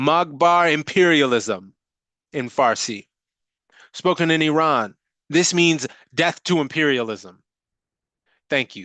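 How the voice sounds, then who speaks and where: The voice has a bright, sharp tone and lively intonation, moving at a very slow pace with long, frequent pauses against a quiet background. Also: man, fairly high pitch for a man. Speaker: former radio worker. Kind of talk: reading aloud. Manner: powerful delivery.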